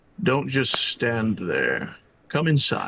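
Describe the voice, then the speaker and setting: Pitched fairly high, a man's put-on character voice carries the speech. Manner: commanding, inviting.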